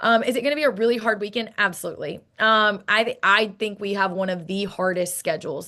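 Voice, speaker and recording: A woman's animated, fairly high-pitched voice at a fairly quick pace, over a quiet background. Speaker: college softball head coach. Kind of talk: interview. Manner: fast.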